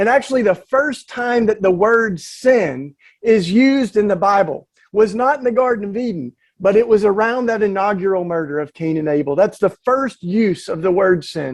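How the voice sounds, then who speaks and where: Speaking with a Southern accent, a man talks at a moderate pace in a high pitch with lively intonation. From US South, East Tennessee. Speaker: activist and author. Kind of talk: panel talk. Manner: halting, many fillers.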